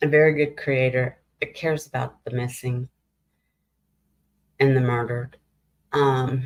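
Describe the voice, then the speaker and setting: The speech comes at a fairly slow pace, broken by long, frequent pauses. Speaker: true crime livestreamer. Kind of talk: casual chat. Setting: livestream. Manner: loud.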